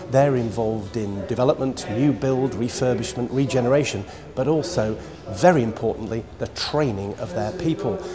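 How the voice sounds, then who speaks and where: A man talks with lively intonation over music in the background, with audible room echo. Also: medium pitch for a man, moderate pace. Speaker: video reporter. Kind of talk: video report presentation.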